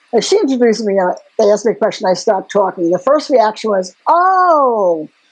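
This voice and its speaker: A woman talks at a moderate pace with a New York accent. Her fairly high voice moves through very wide pitch swings. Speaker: community organizer and author. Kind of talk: interview. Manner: animated.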